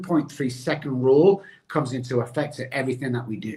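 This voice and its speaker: At a moderate pace, a man talks with an American accent in a somewhat breathy voice. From England (Manchester). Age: 60s. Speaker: addiction recovery expert. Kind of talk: motivational interview talk. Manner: animated.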